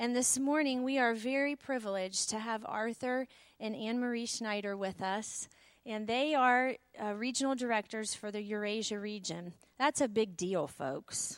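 A woman with a fairly high pitch, an unremarkable speaking voice, ordinary pitch variation and a moderate pace. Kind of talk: church welcome introduction. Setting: church.

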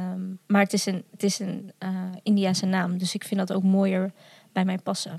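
A woman speaks at a moderate pace in a somewhat breathy voice with flat, monotone intonation. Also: medium pitch for a woman. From Netherlands, village on the Vecht. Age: 20s. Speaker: adoptee and video maker. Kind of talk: casual interview.

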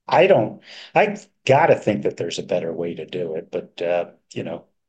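A man's voice carries vocal fry at a moderate pace. It swings very widely in pitch. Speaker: podcast co-host, bookkeeper for pest industry. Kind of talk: casual business podcast chat. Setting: hotel room.

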